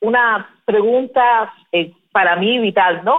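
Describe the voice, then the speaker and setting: A woman speaks in a plain, everyday voice at a fairly high pitch, with ordinary pitch variation. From Cuba. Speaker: podcast host. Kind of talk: interview.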